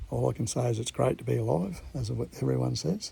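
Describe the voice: Man's put-on character voice, husky and raspy, fairly low-pitched with very wide pitch swings at a fairly quick pace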